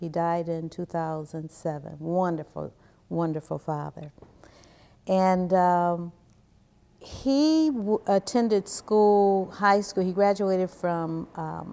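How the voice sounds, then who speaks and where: On a very clean recording with a silent background, a woman with an American accent speaks at a very slow pace in a fairly low pitch, her tone dark and mellow with ordinary pitch variation. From Cleveland, Ohio, US. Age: 60s. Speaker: interviewee, community researcher. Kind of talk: oral history interview.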